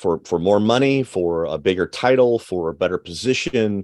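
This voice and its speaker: Moderate pace and ordinary pitch variation, against a quiet background. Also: man. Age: 40s. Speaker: author and leadership consultant. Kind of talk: interview conversation. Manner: halting, many fillers.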